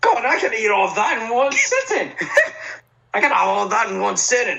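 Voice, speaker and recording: This is a put-on character voice. The pace is moderate. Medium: actual play. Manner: hearty, jovial.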